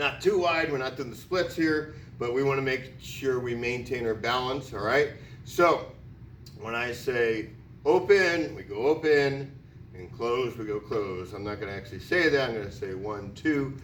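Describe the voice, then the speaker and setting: A man with an American accent talks at medium pitch and a moderate pace, with an animated tone, lively intonation and big swings in loudness, in audible room echo. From US Northeast (Connecticut). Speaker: PE teacher. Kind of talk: tutorial.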